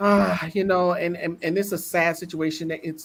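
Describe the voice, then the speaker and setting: The speaker has an American accent and a fairly slow pace. Pitch varies in an ordinary way. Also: woman. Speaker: talk show co-host. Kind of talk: casual chat.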